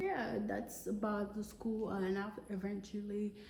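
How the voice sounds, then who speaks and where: A woman at a medium pitch and fairly slow pace, with noticeable background noise and audible room echo. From Togo, West Africa. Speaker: vlogger. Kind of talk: casual personal vlog. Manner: halting, many fillers.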